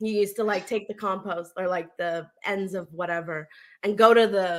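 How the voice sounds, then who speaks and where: A woman with a Canadian accent uses a normal speaking voice at a medium pitch, speaking at a moderate pace with fairly even intonation. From Canada, Ontario. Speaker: podcast co-host. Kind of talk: casual chat.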